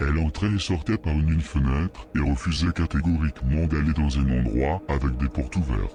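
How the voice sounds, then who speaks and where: A man puts on a character voice at a fairly quick pace. Clear background noise runs beneath him. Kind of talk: horror narration. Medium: read story.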